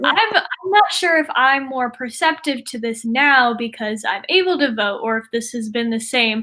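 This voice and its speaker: A woman with an American accent speaks in a raised, projected voice at a high pitch with lively intonation and hardly any pauses. Noticeable background noise is present. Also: moderate pace. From New York Capital Region. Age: 20s. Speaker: student interviewer. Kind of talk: interview.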